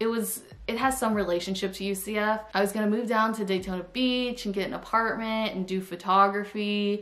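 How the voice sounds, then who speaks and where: With an American accent, a woman speaks at medium pitch and a moderate pace in a monotone, flat intonation, with hardly any pauses. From Florida. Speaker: YouTuber. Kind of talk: casual vlog storytime. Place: home room. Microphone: camera far.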